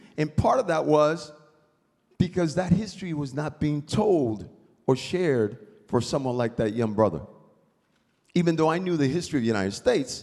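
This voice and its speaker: A man with a Spanish accent at a fairly quick pace, with very wide pitch swings. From Puerto Rico. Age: 70s. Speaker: panelist. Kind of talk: storytelling.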